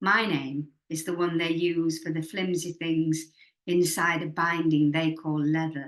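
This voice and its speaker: Here a woman talks at a fairly slow pace. Her intonation is flat and monotone. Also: fairly low pitch for a woman. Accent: Yorkshire. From Leeds, England. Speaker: poet and writer. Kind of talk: poetry reading.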